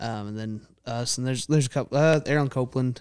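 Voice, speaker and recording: Medium in pitch, a man speaks with a Texan accent. His intonation stays fairly even. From Texas (Prosper). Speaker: country singer-songwriter. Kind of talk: casual chat.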